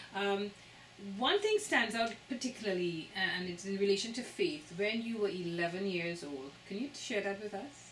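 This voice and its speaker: In a Trinidadian accent, a woman speaks at a moderate pace with medium pitch and ordinary pitch variation, with audible room echo and noticeable background noise. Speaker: interviewer. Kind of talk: interview.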